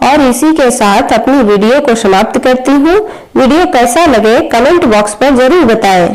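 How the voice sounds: Her voice sits fairly high and carries a slightly mellow tone with lively intonation. The woman talks at a moderate pace in a room with strong echo.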